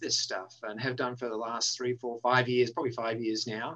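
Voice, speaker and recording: Speaking with an Australian accent, a man talks at a fairly quick pace. His medium-pitched voice has a bright, sharp tone. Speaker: university dean. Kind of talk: interview. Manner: frequent filler words.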